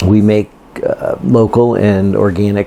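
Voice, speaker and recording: A man speaks in a fairly low voice with fairly even intonation over noticeable background noise. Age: 60s. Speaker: retired farmer. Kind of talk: interview. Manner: halting.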